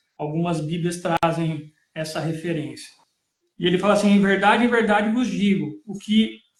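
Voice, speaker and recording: At a fairly slow pace, a man with a rural Brazilian accent speaks with ordinary pitch variation. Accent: Brazilian countryside. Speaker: preacher. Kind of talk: Bible teaching in a live stream. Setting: live stream.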